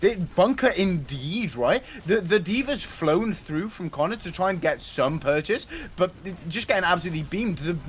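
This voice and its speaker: A man's high voice with a British accent and lively intonation, against noticeable background noise. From Britain. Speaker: esports caster. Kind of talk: live commentary. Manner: fast, animated.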